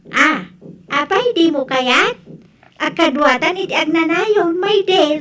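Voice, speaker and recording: Using a put-on character voice, a woman speaks very slowly at an extremely high pitch with lively intonation. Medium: audio drama. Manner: giggly, sweetly pushy.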